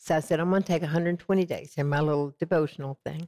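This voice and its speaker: With a Southern US accent, a woman speaks fairly quickly in a very deep, low pitch and monotone, flat intonation, the sound dry and close with no echo. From US South, Georgia and Texas. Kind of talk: interview testimony. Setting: TV studio set.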